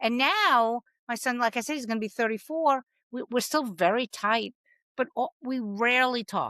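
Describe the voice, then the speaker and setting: In a dry, close sound with no echo, a woman speaks loudly at a moderate pace, her high pitch paired with a bright, sharp tone and ordinary pitch variation. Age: 60s. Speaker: comedian. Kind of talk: casual chat. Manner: halting.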